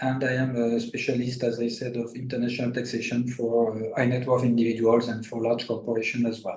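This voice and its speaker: In a French accent, the man delivers his lines. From France. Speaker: international tax lawyer. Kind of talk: interview. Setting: livestream. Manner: halting, many fillers.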